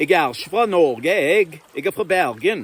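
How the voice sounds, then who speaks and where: A man's put-on character voice, guttural and high for a man, with lively intonation. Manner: proud.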